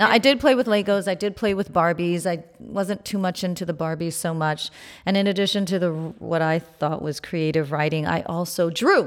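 Speaking at a moderate pace with hardly any pauses, a woman uses a fairly low pitch and ordinary pitch variation in a normal speaking voice. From New York, Haitian family. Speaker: plastic surgeon and beauty podcast host. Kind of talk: interview.

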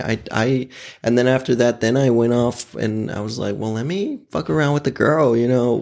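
A man uses a plain, everyday voice at a medium pitch with ordinary pitch variation. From Oklahoma City. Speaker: guest sharing personal story. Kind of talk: casual chat.

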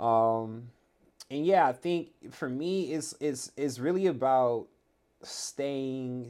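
In a very clean recording with a silent background, the speaker talks very slowly in a Californian accent, with ordinary pitch variation. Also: man, medium pitch for a man. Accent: Californian American English. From Los Angeles, San Fernando Valley. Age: 30s. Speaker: former pro basketball player. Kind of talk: casual interview chat. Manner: halting, many repeated words.

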